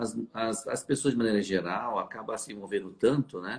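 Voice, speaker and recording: A man in a normal speaking voice talks at medium pitch and a moderate pace with ordinary pitch variation. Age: 60s. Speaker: fertility doctor. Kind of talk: live stream conversation. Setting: live stream.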